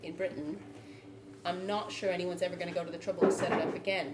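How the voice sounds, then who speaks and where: A woman with an American accent, fairly low-pitched and fairly quick, amid noticeable background noise and audible room echo. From United States. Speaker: brewer. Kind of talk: panel debate.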